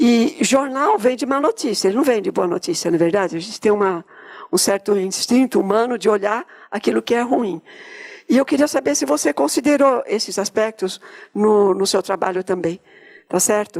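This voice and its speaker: Dry and close with no echo, the recording catches a woman at a moderate pace, her fairly high voice making very wide pitch swings. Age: 70s. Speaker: audience member asking a question. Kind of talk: audience question at public seminar.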